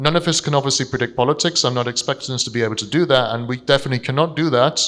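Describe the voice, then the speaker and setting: A man speaks with a London accent. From London, England. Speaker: investment strategist. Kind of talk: seminar presentation. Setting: stage with audience.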